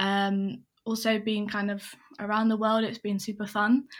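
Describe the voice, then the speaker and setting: At a fairly slow pace, a woman speaks at a medium pitch with an English accent, in a very clean recording with a silent background. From England. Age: 20s. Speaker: consultant. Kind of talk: casual interview.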